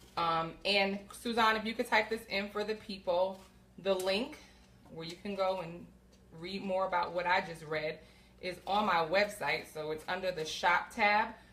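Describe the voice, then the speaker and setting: Noticeable background noise sits behind a woman speaking at medium pitch with fairly even intonation. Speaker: women's health coach. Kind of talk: live stream cooking demo. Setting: home kitchen, livestream. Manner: fast.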